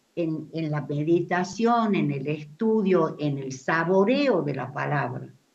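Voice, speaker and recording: In a room with audible echo, a woman speaks fairly slowly in a fairly low pitch with lively intonation. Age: 80s+. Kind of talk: audience comment at discussion. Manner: halting, repetitive fillers.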